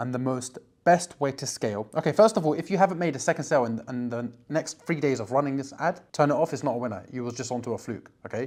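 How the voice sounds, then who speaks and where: Speaking at a very fast pace with hardly any pauses, a man with a British accent uses an animated tone, a fairly high pitch and ordinary pitch variation. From UK. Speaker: online business coach. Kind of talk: casual direct-to-camera tutorial.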